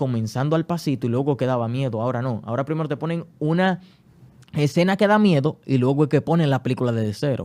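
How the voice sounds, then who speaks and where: This man speaks at a very fast pace. His pitch is fairly high, with ordinary variation. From Dominican Republic, Santo Domingo. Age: 20s. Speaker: writer and academic. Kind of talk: podcast interview.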